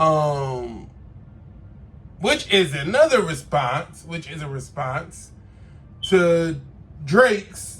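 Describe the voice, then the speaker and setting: A man with a fairly high pitch sounds animated and leaves long, frequent pauses. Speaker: podcast host. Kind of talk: casual commentary monologue.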